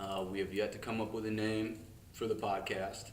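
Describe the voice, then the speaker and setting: A man's flat, monotone delivery with audible room echo. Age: 20s. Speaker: podcast co-host. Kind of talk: casual chat.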